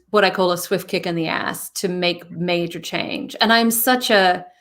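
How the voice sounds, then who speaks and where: A woman with a British accent speaks at a fairly slow pace with ordinary pitch variation. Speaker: interview guest, speaker. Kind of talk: casual interview chat.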